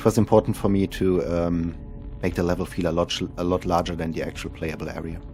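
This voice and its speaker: With music in the background, the voice moves at a fairly quick pace with flat, monotone intonation. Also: man, very deep, low pitch for a man. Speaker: indie game developer. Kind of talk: game developer commentary.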